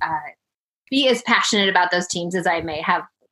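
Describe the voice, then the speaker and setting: A woman's bright, sharp, medium-pitched voice with an American accent. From Colorado, US. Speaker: sports broadcaster. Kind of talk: casual interview.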